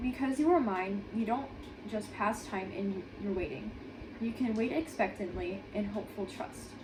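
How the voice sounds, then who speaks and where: With noticeable background noise around her, a woman talks at a moderate pace in a fairly high pitch with lively intonation. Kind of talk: devotional read aloud. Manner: stuttering.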